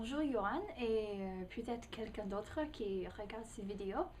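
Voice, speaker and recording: A somewhat breathy woman speaks at a very slow pace with a fairly high pitch, lively intonation and a dark, mellow tone. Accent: American. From United States. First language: English (speaking French). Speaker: language learner, English tutor. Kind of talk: personal video testimony. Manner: halting, many hesitations.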